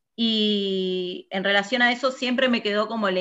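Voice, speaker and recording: A woman at medium pitch, with fairly even intonation and a fairly slow pace. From Argentina, Buenos Aires province (Burzaco, south zone). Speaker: physicist working in satellite industry. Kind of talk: interview. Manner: hesitant with fillers.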